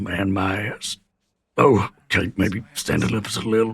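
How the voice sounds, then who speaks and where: Putting on a raspy character voice, a man speaks at a fairly slow pace and a fairly low pitch, with ordinary pitch variation and big swings in loudness. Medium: game stream. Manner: wry, dry humour.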